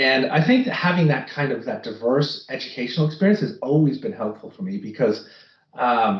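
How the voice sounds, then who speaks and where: With an American accent, a man speaks fairly quickly at a fairly high pitch, somewhat breathy and with lively intonation. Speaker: finance executive. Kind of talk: interview.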